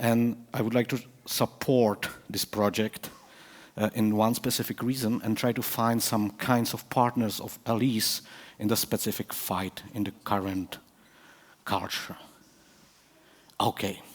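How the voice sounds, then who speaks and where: A man with a Czech accent, flat monotone intonation, a fairly slow pace, and long, frequent pauses. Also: medium pitch for a man. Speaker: professor. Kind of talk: conference talk. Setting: stage with audience. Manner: halting.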